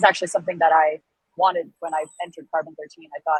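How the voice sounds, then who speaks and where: With an American accent, a woman talks. Her pitch sits very deep and low. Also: dry, close sound with no echo. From United States. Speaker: startup founder and CEO. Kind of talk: interview. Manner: loud and outgoing.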